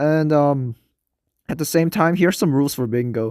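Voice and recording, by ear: A man speaks at a moderate pace with ordinary pitch variation. His tone is clear and smooth, slightly mellow, and nasal. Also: very clean recording, silent background.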